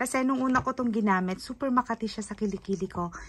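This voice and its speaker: This woman's voice is somewhat breathy. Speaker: beauty vlogger. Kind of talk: product haul review. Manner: casual, chatty.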